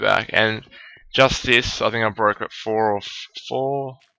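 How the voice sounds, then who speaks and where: Mumbling at a very slow pace, a man with a fairly low pitch talks in a bright, sharp tone and fairly even intonation. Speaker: gaming let's play creator. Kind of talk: gameplay commentary. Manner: halting, many fillers.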